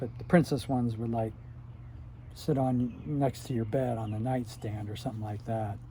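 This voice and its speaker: A somewhat breathy man's voice with an American accent, medium pitch, a dark, mellow tone, fairly even intonation and a moderate pace. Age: 60s. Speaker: retired YouTuber reminiscing. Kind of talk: casual monologue. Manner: halting, many filler words.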